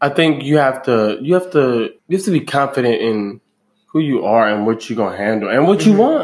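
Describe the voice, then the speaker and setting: This man's voice is fairly high in pitch. He talks at a fairly quick pace with lively intonation. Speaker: podcast host. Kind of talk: casual chat. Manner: animated.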